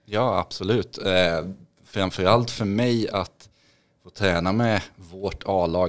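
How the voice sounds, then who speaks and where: A man with a fairly low pitch speaks very slowly, his pitch varying in an ordinary way. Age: 30s. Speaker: trader and investor, former hockey player; podcast guest. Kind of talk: podcast interview; interview answer. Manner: hesitant, many fillers. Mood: friendly, relaxed. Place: studio. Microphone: studio mic.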